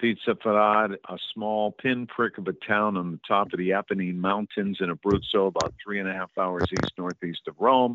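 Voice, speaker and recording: Using a normal speaking voice, a man talks at a fairly low pitch. His intonation stays fairly even, and his pace is moderate. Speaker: radio host and documentary producer. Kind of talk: interview.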